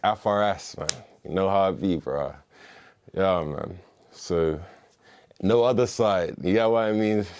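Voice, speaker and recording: A man talks with a Bermudian accent at a fairly low pitch. His speech has long, frequent pauses. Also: ordinary pitch variation, fairly slow pace. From Bermuda. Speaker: musician and former gang member. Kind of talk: interview storytelling. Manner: casual, slangy and profane.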